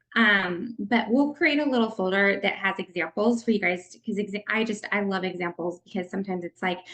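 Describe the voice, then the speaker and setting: An ordinary speaking voice from a woman, medium pitch, fairly quick pace, hardly any pauses, ordinary pitch variation. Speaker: network marketing leader giving a training. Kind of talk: online training presentation.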